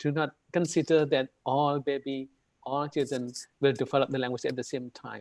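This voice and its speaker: A man talks at a moderate pace in a fairly high pitch. His intonation is flat and monotone, and the sound is dry and close with no echo. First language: Indonesian. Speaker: university lecturer, webinar presenter. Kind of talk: lecture. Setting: video call. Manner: hesitant, many fillers.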